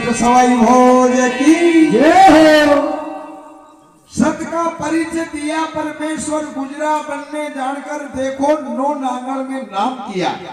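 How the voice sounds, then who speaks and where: Over noticeable background noise, a man speaks at an extremely high pitch. His intonation stays fairly even. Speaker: folk storyteller. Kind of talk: devotional folk epic narration.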